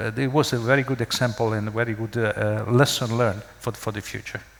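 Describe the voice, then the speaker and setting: A man with a non-native accent, medium pitch, ordinary pitch variation and a fairly quick pace. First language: not English. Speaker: business continuity manager, panelist. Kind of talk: panel discussion. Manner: halting, many repetitions and fillers.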